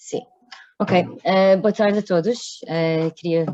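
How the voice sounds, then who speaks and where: A woman speaks with a non-native accent at a fairly slow pace. Her pitch varies in an ordinary way. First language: not Portuguese (speaking Portuguese). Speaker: workshop moderator. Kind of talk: workshop introduction. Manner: halting, many hesitations.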